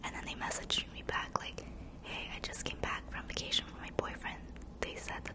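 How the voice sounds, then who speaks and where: Noticeable background noise fills the recording. Through it, a woman whispers at a moderate pace. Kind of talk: ASMR storytime ramble. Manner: whispered; casual, chatty.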